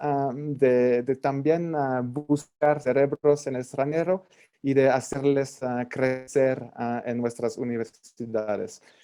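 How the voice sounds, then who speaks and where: At a very slow pace and with hardly any pauses, this dark, mellow voice keeps a fairly even intonation. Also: man. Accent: French. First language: French (speaking Spanish). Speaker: government representative. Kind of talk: panel presentation. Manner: halting, many fillers.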